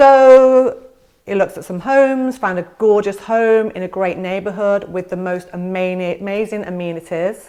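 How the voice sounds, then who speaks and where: A woman with an English accent speaks at a moderate pace in a medium-pitched voice, her tone dark and mellow and her pitch varying in an ordinary way. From England. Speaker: real estate agent. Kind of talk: vlog-style informational talk to camera. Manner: conversational with fillers.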